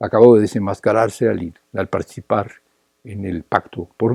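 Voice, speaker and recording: In a Mexican accent, a man speaks at a moderate pace and fairly low pitch. His tone is dark and mellow, and the sound is dry and close with no echo. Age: 70s. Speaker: political activist. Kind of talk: political lecture. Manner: repetitive, halting.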